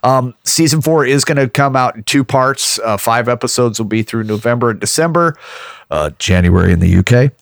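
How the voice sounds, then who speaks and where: A man with a normal speaking voice, medium pitch and lively intonation at a fairly quick pace, in a dry, close sound with no echo. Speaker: podcast co-host. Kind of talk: casual chat about gaming news. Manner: joking, bantering.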